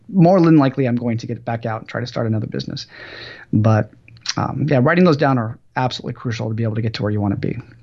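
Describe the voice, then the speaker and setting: The speaker is a man with a somewhat breathy voice. He talks at a very fast pace. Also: medium pitch for a man, ordinary pitch variation. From US West Coast, Los Angeles. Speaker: entrepreneur and business professor. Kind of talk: podcast interview.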